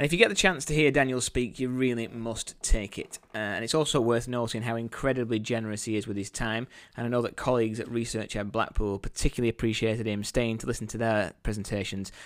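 Talking at a fairly quick pace, a man has a medium pitch and an ordinary speaking voice. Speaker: podcast host. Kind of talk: interview.

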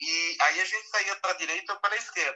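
A man with a São Paulo accent talks at a moderate pace. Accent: Brazilian Portuguese, São Paulo (paulistano). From Brazil, São Paulo city. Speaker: wildlife and underwater photographer. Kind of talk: casual live interview. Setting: live audio room (Clubhouse), remote.

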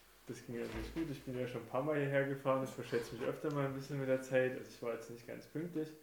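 A man speaks very fast in a monotone, flat way with hardly any pauses, amid noticeable background noise and audible room echo. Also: medium pitch for a man. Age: 30s. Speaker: guest, childhood friend of the host. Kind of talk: casual chat.

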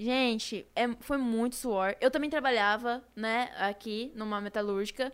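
A woman's fairly high voice, an ordinary speaking voice, at a fairly slow pace with hardly any pauses and fairly even intonation, on a very clean recording with a silent background. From Brazil, São Paulo state. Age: 20s. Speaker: youtuber. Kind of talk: casual chat.

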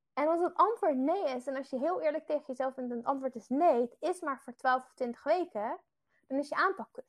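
Fairly quick and lively in intonation, a woman speaks in a high voice. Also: big swings in loudness. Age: 20s. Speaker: fitness coach. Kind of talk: webinar.

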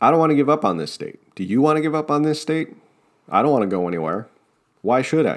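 On a very clean recording with a silent background, a man with an American accent speaks at a fairly quick pace in a fairly high voice with lively intonation. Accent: New Jersey, comes out when passionate. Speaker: political podcast host. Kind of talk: political commentary monologue. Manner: passionate, sometimes tripping over words.

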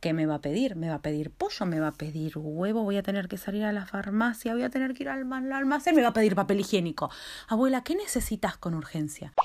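Very fast and animated, a woman with a Rioplatense accent speaks at a medium pitch with very wide pitch swings. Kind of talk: stand-up.

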